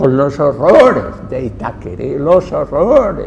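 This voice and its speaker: With noticeable background noise and audible room echo around it, the speech unfolds at a very slow pace. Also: man. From Mallorca, Spain. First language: Catalan (Mallorquin) (speaking Spanish). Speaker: Jesuit priest, linguist and anthropologist. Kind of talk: lecture. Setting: cultural center talk with audience.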